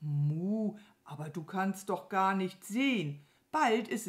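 Reading comes across in a natural voice.

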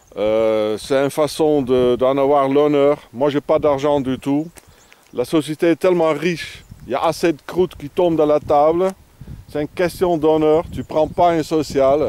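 A man with a non-native accent speaks fairly slowly at a fairly high pitch, with ordinary pitch variation. The recording is dry with no echo. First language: not French (speaking French). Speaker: vagabond vlogger. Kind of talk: outdoor video tutorial. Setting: outdoors. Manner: halting, many hesitations. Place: open country.

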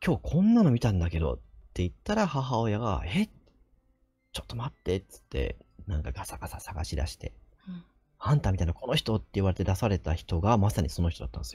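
With a very deep, low pitch and a dark, mellow tone, a man talks at a very fast pace with vocal fry, very wide pitch swings and big swings in loudness over a quiet background. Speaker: nurse and ghost story teller; ghost story teller. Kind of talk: ghost story telling in conversation.

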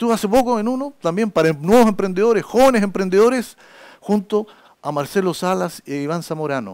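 A fairly quick pace against a quiet background. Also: man. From Chile. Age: 60s. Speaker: journalist and public speaking lecturer; journalist, public speaking lecturer. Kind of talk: lecture. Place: classroom.

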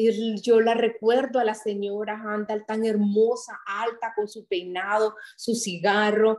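A woman speaks very slowly at a fairly high pitch, with monotone, flat intonation and hardly any pauses. Her loudness swings widely against a quiet background. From Honduras, Santa Rosa de Copán; Honduras. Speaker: writer and public policy specialist; interview guest. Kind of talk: interview; interview answer. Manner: halting. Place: home room. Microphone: video call.

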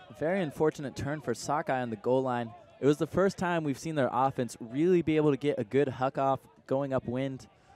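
A plain, everyday voice at a fairly quick pace, dry and close with no echo. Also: man. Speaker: sports commentator. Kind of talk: live sports commentary.

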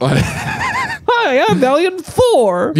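A high-pitched, put-on character voice. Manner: goofy, silly.

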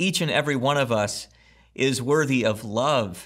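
A man's pitch varies in an ordinary way as he talks fairly slowly. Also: quiet background. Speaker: pastor. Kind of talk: sermon intro and prayer. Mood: earnest, gentle. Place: home room.

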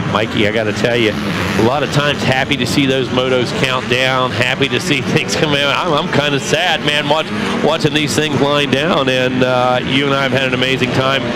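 A man speaks at a moderate pace with hardly any pauses, his voice dry with no echo against loud background noise. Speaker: race commentator. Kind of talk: commentary.

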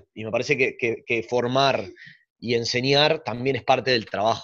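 Against a quiet background, a man speaks fairly quickly in a plain, everyday voice at a medium pitch. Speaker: carnival group founder and choreographer. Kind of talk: casual interview chat.

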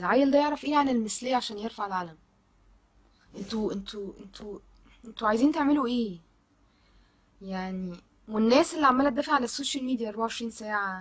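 A woman talks at a fairly quick pace, with fairly high pitch and ordinary pitch variation. Long, frequent pauses break up her speech. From Egypt. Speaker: social media commentator. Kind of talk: video monologue. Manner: animated. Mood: indignant, shocked. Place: home room. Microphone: phone near.

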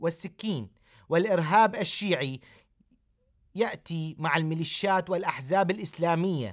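With an Iraqi accent, a man speaks fairly slowly at a high pitch with ordinary pitch variation. The background is quiet. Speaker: pastor and TV host; pastor, TV host. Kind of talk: TV commentary. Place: studio.

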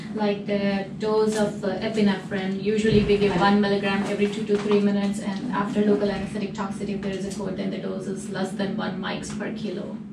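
Talking at a very fast pace with hardly any pauses, a woman is heard over noticeable background noise. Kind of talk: lecture. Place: meeting room. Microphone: camera far.

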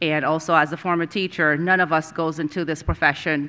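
A woman's voice sits low in pitch with a fairly bright tone.

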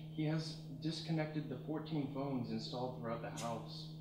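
A man's voice at a moderate pace with ordinary pitch variation, noticeable background noise and audible room echo. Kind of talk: public reading of comic prose. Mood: deadpan comic narration. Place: stage. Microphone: camera far.

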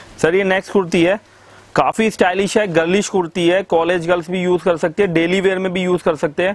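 A man speaks with a high pitch. The sound is dry, with no echo. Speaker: shop seller. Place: shop. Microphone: phone near.

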